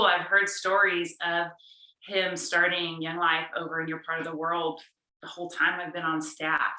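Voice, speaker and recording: Speaking at a moderate pace with an American accent, a woman has a normal speaking voice pitched fairly low. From California. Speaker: youth ministry staff. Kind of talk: casual video call conversation.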